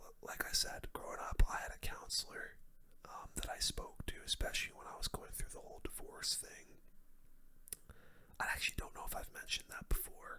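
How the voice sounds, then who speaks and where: A whispering voice moving at a fairly quick pace. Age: 20s. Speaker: YouTuber. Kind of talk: casual talk to camera. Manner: halting, many fillers.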